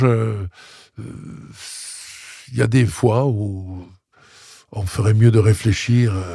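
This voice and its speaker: Very slowly, a man speaks in a fairly low, somewhat breathy voice with a dark, mellow tone. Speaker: opera singer. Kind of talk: interview answer. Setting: studio.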